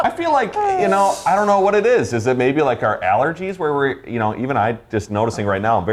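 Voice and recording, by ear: A man's fairly high, nasal voice at a fairly quick pace, with hardly any pauses, very wide pitch swings, very even loudness and noticeable background noise.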